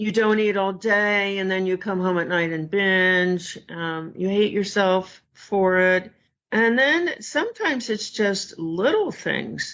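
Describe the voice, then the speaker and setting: This woman talks at a very slow pace with hardly any pauses. Her pitch is medium, with ordinary variation. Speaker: food addiction expert. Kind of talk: interview.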